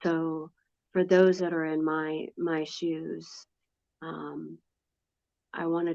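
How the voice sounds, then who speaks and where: Speaking at a very slow pace, a woman uses a very deep, low pitch and a dark, mellow tone with monotone, flat intonation. The sound is dry and close with no echo, against a quiet background. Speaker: epilepsy patient. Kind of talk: personal testimony. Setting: hospital room. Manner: halting, stammering; slurred speech.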